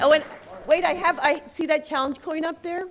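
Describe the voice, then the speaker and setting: A woman talks at a moderate pace with crowd noise in the background. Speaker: security conference speaker, blog editor. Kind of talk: conference talk.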